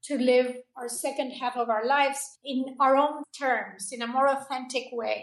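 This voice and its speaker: A woman with a Spanish accent speaks at a fairly slow pace, with hardly any pauses. Her pitch is high and her intonation monotone and flat. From Argentina. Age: 60s. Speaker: holistic health coach. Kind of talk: interview.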